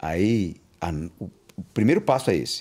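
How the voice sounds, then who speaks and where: The speaker is a man. His pitch is fairly low. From Bahia, raised in São Paulo from age four. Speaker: kung fu master. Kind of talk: interview conversation.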